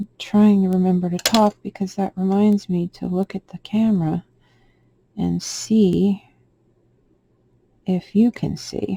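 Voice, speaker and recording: Soft-spoken and somewhat breathy, a woman at medium pitch speaks in a dark, mellow tone with monotone, flat intonation, a fairly slow pace and long, frequent pauses, in a dry, close sound with no echo. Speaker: polymer clay sculptor. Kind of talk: tutorial. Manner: halting.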